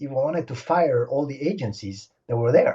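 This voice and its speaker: A man with a French accent speaks at a moderate pace in a dark, mellow tone with very wide pitch swings. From Senegal. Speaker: stunt helicopter pilot. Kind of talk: interview. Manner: animated.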